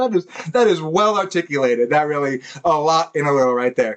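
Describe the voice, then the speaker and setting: A speaker with an American accent goes at a moderate pace over noticeable background noise. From United States. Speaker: podcast host. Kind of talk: casual chat. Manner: halting.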